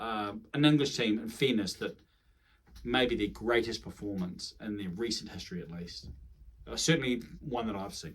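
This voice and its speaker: A man's voice with ordinary pitch variation. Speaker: rugby commentator YouTuber. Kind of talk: solo video monologue. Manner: fast; animated.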